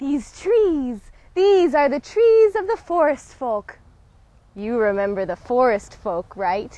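A woman's high, dark, mellow voice with very wide pitch swings at a very slow pace, dry with no echo. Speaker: actress in a fantasy short. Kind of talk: scripted dialogue. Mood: playful, cheerful. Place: open country.

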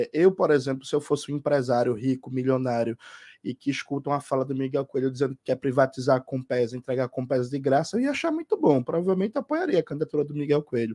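Against a quiet background, a dark, mellow voice talks at a very fast pace with fairly even intonation. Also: man, fairly high pitch for a man. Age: 30s. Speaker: gubernatorial candidate; candidate. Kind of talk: radio interview. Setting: studio. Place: home room.

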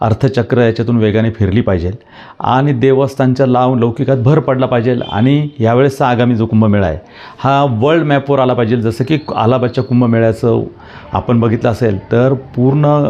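A man speaks in a medium pitch with a dark, mellow tone. His loudness stays very even and his intonation fairly even. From Trimbakeshwar, Nashik district, Maharashtra, India. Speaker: local politician and temple trust trustee. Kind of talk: interview.

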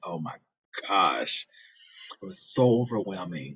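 A man talks at a fairly slow pace in a very deep, low pitch. His pitch varies in an ordinary way against a quiet background. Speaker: video blogger reacting to a clip. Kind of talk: reaction video, casual personal talk. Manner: emotional, sincere, reflective. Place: studio. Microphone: phone near.

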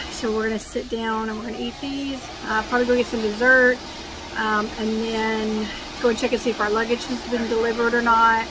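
Over noticeable background noise, a woman speaks at a fairly quick pace with monotone, flat intonation. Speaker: cruise vlogger. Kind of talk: casual vlog chat. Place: cafe. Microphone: phone near.

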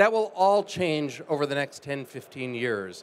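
Lively intonation marks a man speaking with an American accent. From United States. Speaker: life science investor. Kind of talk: panel discussion. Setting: stage with audience. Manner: fluent, polished. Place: stage. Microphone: handheld.

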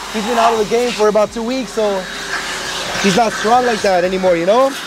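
Noticeable background noise sits under a man's high-pitched voice, which holds fairly even intonation in a dry recording with no echo. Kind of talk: casual vlog chat. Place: street. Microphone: lapel.

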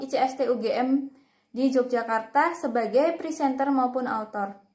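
Against a quiet background, a woman with a high pitch speaks very slowly, her intonation fairly even. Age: 20s. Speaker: job applicant, chemistry graduate. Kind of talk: self-introduction video, prepared speech. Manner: formal. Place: home room. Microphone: phone near.

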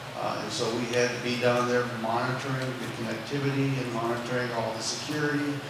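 Strong room echo and noticeable background noise surround a man talking at a fairly quick pace. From North Dakota. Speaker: retired missile launch officer. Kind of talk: panel discussion. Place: stage.

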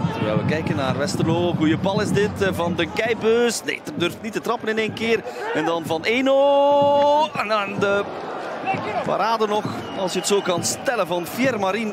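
High-pitched and animated, a man sounds excited, with lively intonation at a fairly slow pace. Noticeable background noise is audible. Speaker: football commentator. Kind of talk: live football commentary, play-by-play. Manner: animated, excited at goals ("De goal!"); fluent with some hesitations, fillers.

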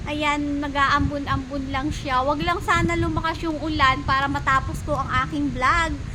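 A woman with a high pitch uses a raised, projected voice at a moderate pace, with fairly even intonation and hardly any pauses. Audible room echo and noticeable background noise surround her. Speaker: overseas worker vlogger. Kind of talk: casual vlog walkthrough. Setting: outdoors in a park.

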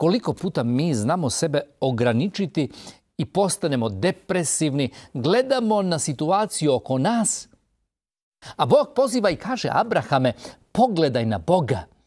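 Against a quiet background, a man's voice shows very wide pitch swings. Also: moderate pace. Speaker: preacher on a TV program. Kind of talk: sermon. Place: studio.

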